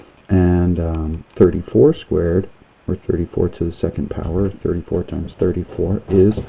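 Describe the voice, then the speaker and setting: A man's very deep, low voice stays flat and monotone as noticeable background noise runs behind it. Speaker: math teacher. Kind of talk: lecture.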